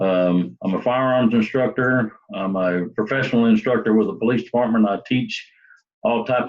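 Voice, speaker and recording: A man with a Southern US accent at a moderate pace. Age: 60s. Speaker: police sergeant. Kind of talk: self-introduction video. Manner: halting.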